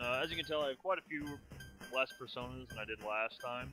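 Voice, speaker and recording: Music plays in the background as a man talks at a fairly quick pace. His intonation is lively. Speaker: let's play commentator. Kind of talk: casual gameplay commentary. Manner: quieter than normal.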